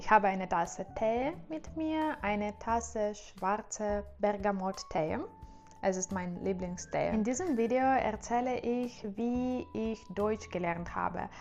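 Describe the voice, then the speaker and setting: A woman speaks at a very slow pace and medium pitch, with ordinary pitch variation, over noticeable background noise. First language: Russian and Ukrainian (speaking German). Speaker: language-learning youtuber. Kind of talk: casual vlog monologue. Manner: halting, many fillers.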